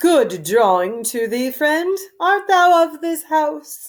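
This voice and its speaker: A woman uses a put-on character voice, high in pitch. She speaks very slowly, with very wide pitch swings. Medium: read story. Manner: haughty.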